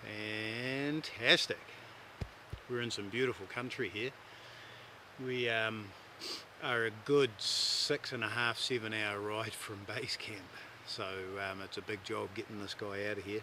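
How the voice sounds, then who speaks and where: In a New Zealand accent, a man at medium pitch talks with fairly even intonation and long, frequent pauses. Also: fairly slow pace. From New Zealand, South Island. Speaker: hunting guide. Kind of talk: casual chat. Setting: outdoors.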